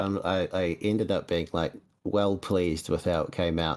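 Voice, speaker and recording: The speaker talks at a moderate pace. They have a New Zealand accent. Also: man. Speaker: podcast host. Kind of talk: casual chat. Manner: runs words together.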